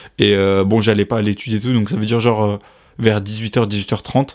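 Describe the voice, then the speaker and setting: The recording is very clean, with a silent background. A man talks in a fairly low, monotone voice with flat intonation. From France. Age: 20s. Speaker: podcast host. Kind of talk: casual chat.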